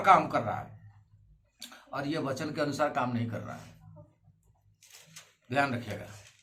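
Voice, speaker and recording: A man speaks in a raised, projected voice. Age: 60s. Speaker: pastor. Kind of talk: sermon.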